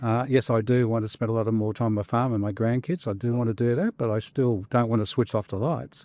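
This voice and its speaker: Against a quiet background with a dry, close sound and no echo, a man with an Australian accent talks at a very fast pace with hardly any pauses, his medium-pitched voice dark and mellow and his intonation fairly even. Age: 60s. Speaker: former fund manager. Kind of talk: interview conversation.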